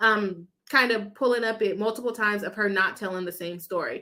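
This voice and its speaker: A woman's bright, sharp tone at a moderate pace. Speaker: lawyer and legal commentator. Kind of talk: live stream reaction and chat reading. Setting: live stream. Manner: trips over words; conversational with fillers.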